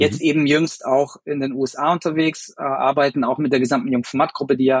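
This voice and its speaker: A man's fairly high voice moves fairly quickly, his intonation fairly even throughout. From Bavaria, partly raised abroad. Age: 30s. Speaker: sports marketing agency executive. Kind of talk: podcast interview. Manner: hesitant, many fillers.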